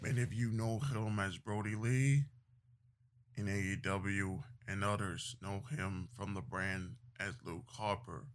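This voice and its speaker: A man's fairly low-pitched delivery at a fairly slow pace, with ordinary pitch variation and a normal speaking voice. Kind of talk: eulogy tribute speech, solemn and reflective. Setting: solo voice recording. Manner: solemn, slow and heavy with grief; earnest, formal, preacher-like cadence with repetition.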